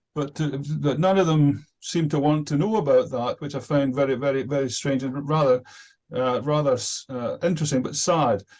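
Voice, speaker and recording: Speaking with a Scottish accent, a man uses a fairly high pitch and ordinary pitch variation. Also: moderate pace. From Scotland. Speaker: participant in religious discussion group. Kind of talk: self-introduction in online meeting. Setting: video call. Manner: hesitant, many fillers.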